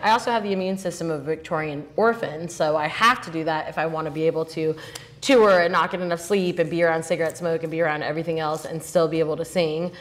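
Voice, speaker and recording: Very fast speech from a woman, set against noticeable background noise. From New Mexico, Albuquerque. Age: 30s. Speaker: country musician. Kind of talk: casual chat. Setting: music festival venue. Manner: animated.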